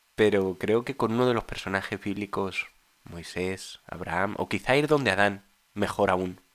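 Keeping a moderate pace, a man with an unremarkable speaking voice talks at a fairly low pitch with ordinary pitch variation. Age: 30s. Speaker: husband of the host, interviewee. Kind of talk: casual chat.

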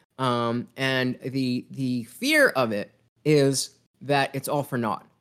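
A man's voice, fairly high in pitch. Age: 30s. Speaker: podcast host guest. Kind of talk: casual interview conversation. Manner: halting, many repetitions and fillers.

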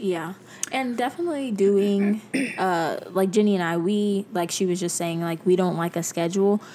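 At a moderate pace, a woman talks with ordinary pitch variation as noticeable background noise carries on. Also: medium pitch for a woman. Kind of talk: casual chat.

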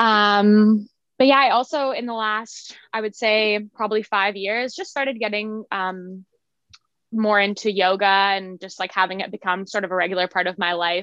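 A woman with a Canadian accent and an unremarkable speaking voice talks at a medium pitch and a moderate pace. Her intonation is fairly even, and the background is quiet. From Ontario, Canada. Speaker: yoga instructor. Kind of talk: casual chat.

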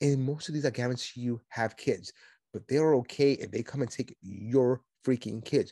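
A man with a New York accent speaks at a medium pitch in an animated tone. The sound is dry and close with no echo, over a quiet background. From Brooklyn, New York. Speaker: podcast host, conservative commentator. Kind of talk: solo political commentary monologue. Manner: fast talker, aggressive, animated.

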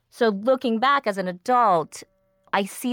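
A woman with an ordinary speaking voice talks at a fairly slow pace with ordinary pitch variation. The recording is very clean, with a silent background. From US, child of immigrants. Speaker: podcast host. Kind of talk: scripted narration; interview.

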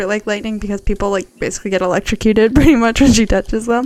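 A woman talks at a very fast pace with a fairly high pitch. Noticeable background noise sits behind her. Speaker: podcast co-host. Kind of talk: casual chat.

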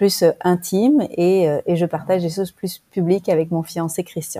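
A woman has an unremarkable speaking voice with a fairly low pitch. She talks at a moderate pace with ordinary pitch variation. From France. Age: 40s. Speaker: relationship coach. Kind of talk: interview.

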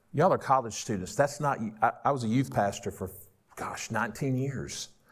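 A man with a Southern US accent speaks at medium pitch, with lively intonation and vocal fry. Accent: Southern US (Georgia). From US South, northwest Georgia. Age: 50s. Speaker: pastor. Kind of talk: sermon. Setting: stage with audience. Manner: animated.

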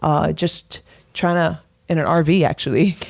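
A woman with an American accent has a plain, everyday voice. Her pitch is fairly low and her intonation fairly even. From US Northeast, Brooklyn, New York. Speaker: realtor. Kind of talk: radio interview.

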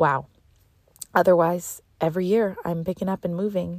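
Dry and close with no echo, a woman's voice in a Canadian accent sounds fairly low-pitched, with a dark, mellow tone, on a very clean recording with a silent background. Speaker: podcast host and dancer. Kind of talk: casual solo monologue. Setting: in a car. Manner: fast; animated.

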